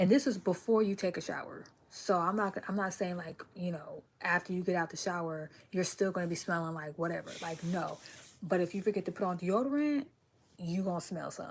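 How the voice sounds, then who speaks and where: An unremarkable speaking voice from a woman, medium in pitch, with ordinary pitch variation and a fairly quick pace. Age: 30s. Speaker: hair stylist and herbal product seller. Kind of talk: casual livestream talk. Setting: at home, in bed.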